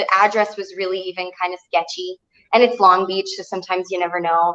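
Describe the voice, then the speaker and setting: A woman with a slight Texas accent talks very fast in a monotone, flat delivery. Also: medium pitch for a woman. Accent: slight Texas twang. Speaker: singer. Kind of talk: casual chat.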